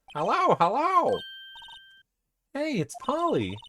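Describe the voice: In a put-on character voice, a man speaks fairly slowly at an extremely high pitch.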